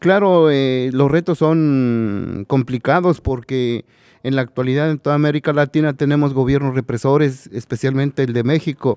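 A man with a plain, everyday voice talks at a moderate pace and fairly high pitch, with ordinary pitch variation and a dry sound with no echo. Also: quiet background. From Mexico. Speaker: migrant rights activist. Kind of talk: panel discussion. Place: hall. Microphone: podium.

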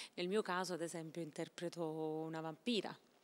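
A woman is talking. Her delivery keeps fairly even intonation. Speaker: stage actress. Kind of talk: interview answer. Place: hall. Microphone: handheld.

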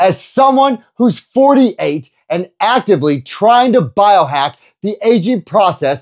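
Over a quiet background, a man speaks at a very slow pace. His pitch swings very widely. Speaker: personal trainer. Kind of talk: energetic youtube explainer. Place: home room. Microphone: lapel.

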